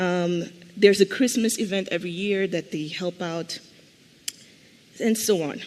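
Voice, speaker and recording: Over noticeable background noise, a woman talks at medium pitch and a fairly slow pace. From Mozambique. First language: Portuguese. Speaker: conference panelist. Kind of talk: conference panel talk.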